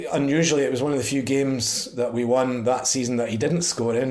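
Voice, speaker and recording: With audible room echo, a man of medium pitch speaks in a Perthshire accent with fairly even intonation. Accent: Scottish (Perthshire). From Scotland, Perthshire (Pitlochry). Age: 50s. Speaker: football fan. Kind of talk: interview.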